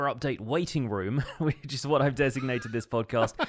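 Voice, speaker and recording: In a British accent, a man talks at a fairly high pitch. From Britain. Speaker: podcast co-host and Minecraft streamer. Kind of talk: casual chat.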